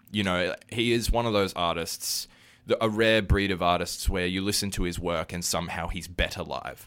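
A man with a very deep, low voice talks at a moderate pace with fairly even intonation, on a very clean recording with a silent background. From Australia. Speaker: musician. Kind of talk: casual chat. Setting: studio.

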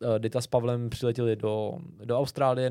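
A man with a dark, mellow tone speaks at a medium pitch and a fairly slow pace, his intonation monotone and flat. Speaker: travel podcast host. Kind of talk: interview.

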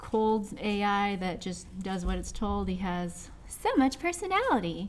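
A woman speaks with an American accent. Noticeable background noise runs beneath her voice. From US Pacific Northwest (Seattle, Washington). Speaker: creative director of an animation project, comic artist. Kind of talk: casual podcast interview.

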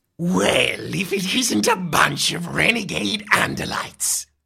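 A put-on character voice, raspy and menacing in tone, at a middle pitch and a fairly slow pace. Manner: horrid, menacing.

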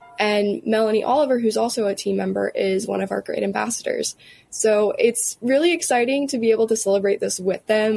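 A woman talks fairly quickly, with noticeable noise in the background. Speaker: chamber of commerce staffer. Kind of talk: interview. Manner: casual, filler-heavy.

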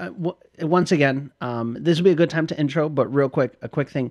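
A man with a fairly high pitch and lively intonation talks at a moderate pace in an unremarkable speaking voice. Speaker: podcast co-host. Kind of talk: casual chat, comedic banter.

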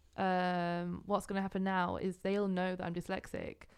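This is a woman speaking. She has a northern English accent. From England, North Yorkshire. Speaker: artist and art student. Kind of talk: podcast interview. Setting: recording studio.

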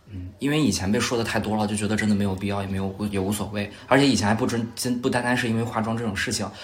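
Audible room echo surrounds the voice. Its intonation is fairly even. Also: man. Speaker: podcast guest. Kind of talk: casual chat. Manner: soft-spoken.

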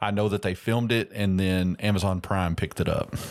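A man's very deep, low pitch in a monotone, flat delivery on a very clean recording with a silent background. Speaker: podcast host. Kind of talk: casual movie review chat. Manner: casual, filler-heavy.

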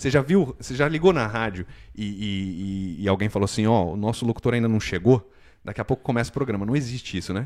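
A man with a São Paulo accent, fairly low pitch and a very fast pace, in a very clean recording with a silent background. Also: ordinary pitch variation. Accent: Paulistano Brazilian Portuguese. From Brazil, São Paulo city. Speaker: immigration consultancy owner. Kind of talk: casual chat.

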